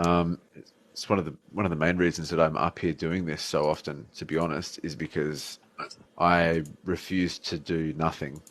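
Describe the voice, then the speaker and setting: The speaker has an Australian accent and a moderate pace. Intonation stays fairly even over a quiet background. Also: man. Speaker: atheist debater. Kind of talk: casual chat. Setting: live stream.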